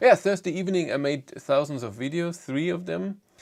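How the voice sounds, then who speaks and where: Lively intonation marks a man's speech in a German accent. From Germany. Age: 40s. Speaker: EV YouTuber. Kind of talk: live stream chat. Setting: live stream. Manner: halting.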